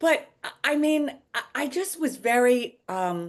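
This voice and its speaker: Against a quiet background, a woman speaks with a New York accent. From Long Island, New York. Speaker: actress. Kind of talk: interview. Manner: animated.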